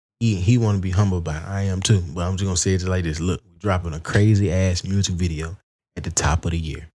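In a very clean recording with a silent background, a man with an Alabama accent talks at a very fast pace in a very deep, low pitch, his dark, mellow tone carrying fairly even intonation while his loudness swings widely. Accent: Southern US, Alabama. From Alabama, US South (Wetumpka). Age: 20s. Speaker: rapper and singer. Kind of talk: casual chat.

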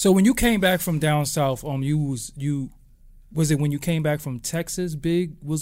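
This man speaks in a fairly high pitch with a New York accent. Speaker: podcast host. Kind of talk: casual chat interview.

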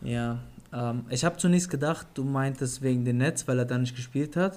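A man speaks at a fairly high pitch and a moderate pace. He has a normal speaking voice with ordinary pitch variation. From Germany, Offenbach. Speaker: NBA podcast co-host. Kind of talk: casual chat.

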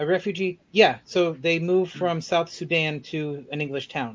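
In a plain, everyday voice, a man speaks at a fairly slow pace with fairly high pitch and fairly even intonation. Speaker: podcast host. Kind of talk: casual chat.

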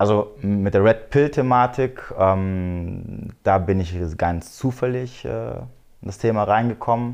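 A man at a very slow pace, fairly low pitch, and ordinary pitch variation. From Germany, Frankfurt am Main area. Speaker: dating and red pill content creator. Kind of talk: podcast interview.

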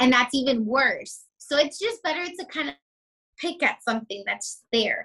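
A woman with an American accent speaks in a raised, projected voice at a high pitch and a moderate pace. Her tone is bright, sharp and animated, with very wide pitch swings. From South Florida. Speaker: surgical tech and small business owner. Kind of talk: casual interview chat. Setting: video call.

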